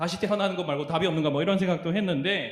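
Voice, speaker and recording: A man's voice with audible room echo. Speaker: youth pastor. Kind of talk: sermon.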